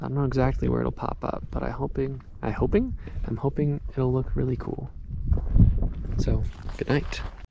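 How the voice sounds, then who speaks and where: Noticeable background noise surrounds a man talking at a moderate pace. The sound itself is dry, with no echo. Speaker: road trip vlogger. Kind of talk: casual vlog chat. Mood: relaxed, awed. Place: open country. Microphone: phone near.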